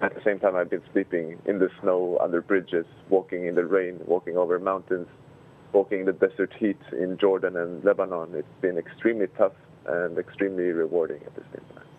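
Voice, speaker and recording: In a Swedish accent, a man talks at a fairly quick pace with a very deep, low pitch and monotone, flat intonation. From Sweden. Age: 20s. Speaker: human rights activist. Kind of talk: interview.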